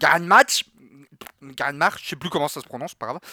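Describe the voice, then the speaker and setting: In a dry, close recording with no echo, a man projects a raised voice with a bright, sharp tone. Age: 20s. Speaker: streamer and podcast co-host. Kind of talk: casual chat. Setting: video call.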